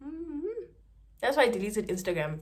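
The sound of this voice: With big pitch swings, a woman speaks at a fairly high pitch. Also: moderate pace.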